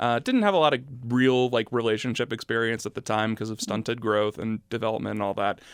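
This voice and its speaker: Recorded dry and close with no echo against a silent background in a very clean recording, a man talks at a very fast pace with fairly even intonation at a medium pitch. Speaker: podcast host. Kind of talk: casual chat. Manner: loud; steady volume.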